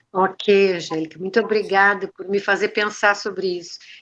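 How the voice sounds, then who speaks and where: A woman's plain, everyday voice at medium pitch and a moderate pace. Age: 60s. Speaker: retired teacher and restorative justice practitioner. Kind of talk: interview conversation.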